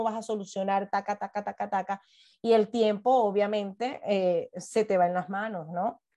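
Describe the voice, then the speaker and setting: Over background music, a woman with a Venezuelan accent speaks at a moderate pace and medium pitch with ordinary pitch variation. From Venezuela, Puerto La Cruz. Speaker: podcast guest, mother. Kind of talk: interview conversation.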